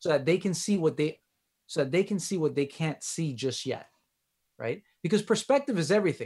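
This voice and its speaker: A man with a Miami accent, high pitch, lively intonation and a fairly quick pace broken by long, frequent pauses. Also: very clean recording, silent background. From Miami, Florida. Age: 30s. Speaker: relationship coach and physical therapist. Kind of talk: interview conversation.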